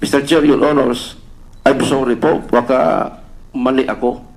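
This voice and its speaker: Ordinary pitch variation from a man, over noticeable background noise. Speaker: police officer testifying at senate hearing. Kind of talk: testimony. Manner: halting.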